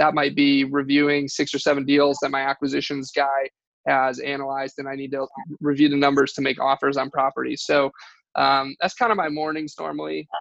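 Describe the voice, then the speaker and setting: With an American accent, a man speaks in a monotone, flat way at a fairly high pitch. His voice comes across dry and close with no echo. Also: quiet background. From Michigan, US. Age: 20s. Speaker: real estate investor. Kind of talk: interview. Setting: call.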